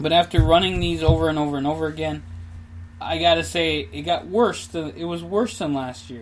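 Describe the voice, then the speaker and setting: Audible room echo surrounds a man speaking fairly quickly with a Minnesota accent. His loudness swings a lot. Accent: Minnesota accent, noticeable. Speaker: podcaster, amateur runner. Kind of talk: casual solo podcast monologue. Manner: casual, with many fillers.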